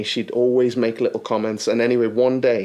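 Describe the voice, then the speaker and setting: This man sounds animated. His pace is fairly quick. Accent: Liverpool. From Liverpool, England. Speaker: actor. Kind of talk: casual chat. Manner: animated storytelling.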